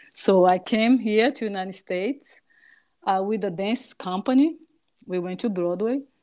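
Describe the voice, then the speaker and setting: At a moderate pace, a dark, mellow voice with a Portuguese accent and ordinary pitch variation comes through on a very clean recording with a silent background. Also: woman, medium pitch for a woman. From Brazil (Salvador, Bahia). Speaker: dietitian nutritionist. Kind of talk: casual interview chat.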